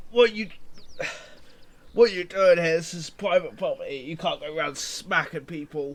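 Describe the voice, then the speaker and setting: A gruff, put-on character voice moves at a moderate pace, broken by long, frequent pauses. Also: man, high pitch for a man. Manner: angry, shouting.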